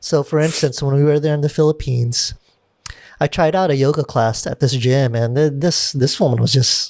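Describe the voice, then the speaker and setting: In an American accent, a man uses a normal speaking voice at a fairly high pitch. He holds a moderate pace and fairly even intonation. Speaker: podcast host and videographer. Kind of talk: casual chat. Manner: casual, filler-heavy.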